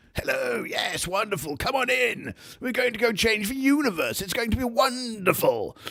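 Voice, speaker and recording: A man uses a put-on character voice with extremely high pitch. He talks at a moderate pace. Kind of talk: upper-class. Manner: foppish, overly cheerful.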